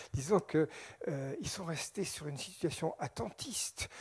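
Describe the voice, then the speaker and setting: A man speaks at a fairly slow pace, somewhat breathy, with lively intonation. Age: 60s. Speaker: scientist lecturer on UFOs. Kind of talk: public lecture. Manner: animated.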